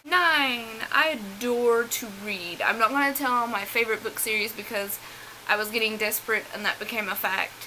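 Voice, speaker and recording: The speaker has an American accent and ordinary pitch variation, with noticeable background noise behind the voice. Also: woman. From US South. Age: 20s. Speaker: beauty vlogger. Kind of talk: casual chat.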